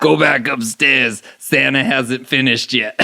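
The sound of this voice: Putting on a raspy character voice, a man speaks at a fairly slow pace with a medium pitch and ordinary pitch variation.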